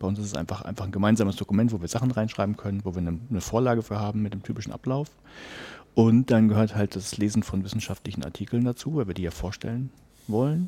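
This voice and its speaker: Mumbling at a very fast pace, a man speaks with a fairly low pitch, ordinary pitch variation and a dark, mellow tone. The recording is very clean, with a silent background. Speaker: podcaster. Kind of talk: casual chat.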